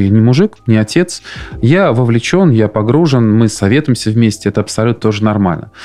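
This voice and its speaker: A man speaks at a very fast pace with lively intonation and very even loudness. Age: 40s. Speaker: podcast host, fathers' council chairman. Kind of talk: interview.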